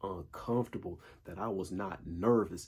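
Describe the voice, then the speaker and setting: A man speaks at a moderate pace. His pitch is fairly low and his intonation fairly even. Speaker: dating and self-improvement vlogger. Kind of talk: casual monologue.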